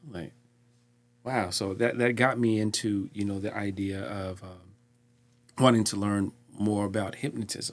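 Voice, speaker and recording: With fairly even intonation and big swings in loudness, a man speaks slowly-ish at a fairly low pitch, leaving long, frequent pauses at his fairly slow pace. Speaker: podcast host. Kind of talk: casual chat. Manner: halting, repeats words.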